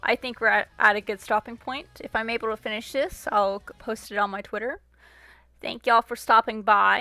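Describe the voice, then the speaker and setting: A soft-spoken woman with a bright, sharp tone and fairly high pitch shows big swings in loudness on a very clean recording with a silent background. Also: ordinary pitch variation, fairly quick pace, dry, close sound with no echo. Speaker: livestreamer digital artist. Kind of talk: casual livestream chat. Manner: quiet, soft-spoken.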